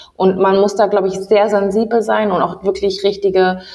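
A woman's medium-pitched voice at a moderate pace, flat and monotone, over noticeable background noise. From Ghanaian diaspora in Germany. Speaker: podcast host. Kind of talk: interview.

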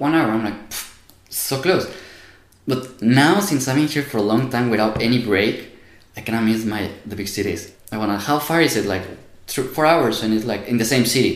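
With a Spanish accent, a man talks at a fairly quick pace and medium pitch, using ordinary pitch variation, with long, frequent pauses and audible room echo. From Mexico. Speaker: university student. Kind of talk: casual interview.

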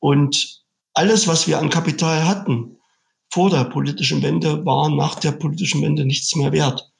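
A man speaks at a moderate pace with very even loudness. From eastern Germany (Saxony-Anhalt, Sangerhausen). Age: 50s. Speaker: car dealership owner and trade association executive. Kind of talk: interview.

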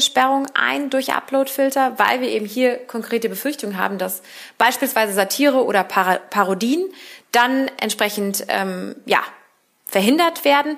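A woman's high voice with lively intonation at a moderate pace. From Berlin, Germany. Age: 30s. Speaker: politician. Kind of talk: interview.

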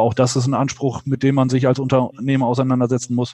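A man is speaking. His tone is dark and mellow. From northwestern Germany. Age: 40s. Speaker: trade association executive. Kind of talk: interview. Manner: hesitant, many filler sounds.

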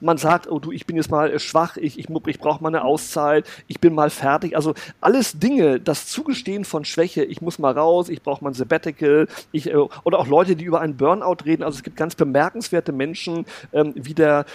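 In an unremarkable speaking voice, a man talks at a fairly quick pace with a fairly high pitch and ordinary pitch variation, in a dry, close sound with no echo. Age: 50s. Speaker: communications consultant and speaker. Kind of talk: interview conversation.

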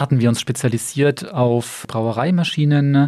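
A man's dark, mellow voice, fairly slow and evenly intoned, on a very clean recording with a silent background. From Bamberg, Franconia, Germany. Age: 40s. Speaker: company owner and managing director. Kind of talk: interview.

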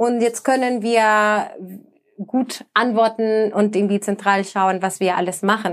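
A woman with a Spanish accent, fairly high pitch, fairly even intonation and a very slow pace, on a very clean recording with a silent background. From El Salvador. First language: Spanish (speaking German). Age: 20s. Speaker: sustainability manager. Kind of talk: podcast interview.

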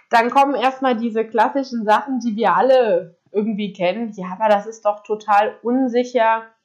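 Using a plain, everyday voice, a woman talks at a moderate pace and fairly high pitch, with hardly any pauses and fairly even intonation. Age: 20s. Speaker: podcaster and self-employed entrepreneur. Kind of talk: casual monologue. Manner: casual, many filler words.

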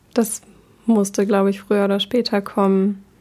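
A woman speaks at a medium pitch in a dark, mellow tone. Her intonation is monotone and flat. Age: 20s. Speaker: university student. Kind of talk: casual chat. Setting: local party office.

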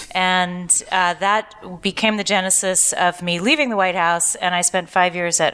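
A woman with an American accent, fairly low in pitch, bright and sharp in tone, with ordinary pitch variation and a moderate pace. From US Pacific Northwest (Seattle), raised partly in Asia. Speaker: author and university lecturer. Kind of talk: interview before live audience. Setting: live podcast with audience in San Francisco.

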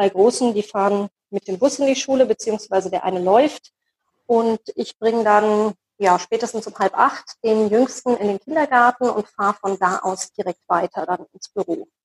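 A woman with a normal speaking voice, fairly high in pitch, at a moderate pace with ordinary pitch variation, in a dry, close sound with no echo. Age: 40s. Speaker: job coach and lecturer, single mother of four. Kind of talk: interview.

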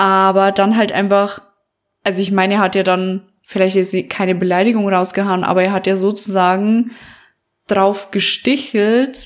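At a moderate pace, a woman speaks at a medium pitch in a very clean recording with a silent background. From Bavaria. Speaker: podcast co-host. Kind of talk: casual chat. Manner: animated.

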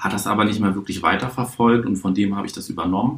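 A man speaks in a fairly low pitch with fairly even intonation amid noticeable background noise. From Hamburg, northern Germany. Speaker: juggler and card-trick performer, show producer. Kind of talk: podcast interview. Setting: hotel room.

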